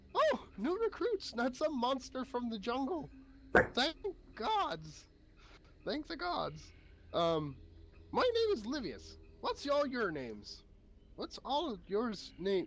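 Putting on a character voice, a man speaks in an extremely high pitch at a very slow pace, with long, frequent pauses. Clear background noise can be heard. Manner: startled, then relieved and chatty.

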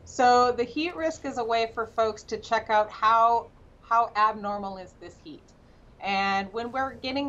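Her intonation holds fairly even throughout. The voice belongs to a woman. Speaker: remote guest. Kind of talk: interview answer. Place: office. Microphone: webcam.

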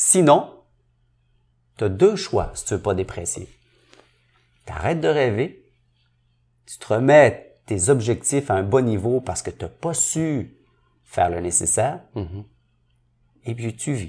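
A man with a dark, mellow, somewhat breathy voice at a medium pitch speaks very slowly, swinging his pitch very widely and leaving long, frequent pauses. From Quebec, Montreal (Saint-Henri). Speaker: entrepreneur and business coach. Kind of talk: interview.

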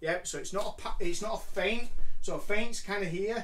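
His pitch rises and falls in an ordinary way. The voice belongs to a man. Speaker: martial arts coach. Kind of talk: tutorial. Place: home room. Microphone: camera far.

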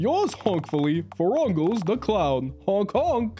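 Over clear background music, a put-on character voice at middle pitch talks at a fairly slow pace. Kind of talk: comic overacting. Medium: game stream. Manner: frantic, pleading, overeager.

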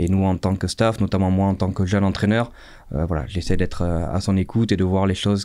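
A man with a very deep, low voice and a dark, mellow tone speaks at a fairly quick pace. His loudness is very even, his intonation fairly even, and the background quiet. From France, Dordogne (Sarlat); Dordogne, France. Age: 30s. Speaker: rugby coach. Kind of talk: casual interview. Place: studio. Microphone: studio mic.

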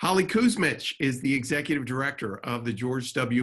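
A man's moderate-paced speech comes over a quiet background. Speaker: webinar host or moderator. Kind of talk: panel introduction. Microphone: video call.

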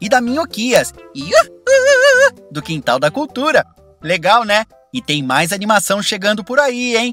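Over music in the background, a man with a high pitch uses a raised, projected voice with very wide pitch swings, speaking fairly slowly with long, frequent pauses in a dry, close sound with no echo. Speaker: voice actor. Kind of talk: casual talk to camera.

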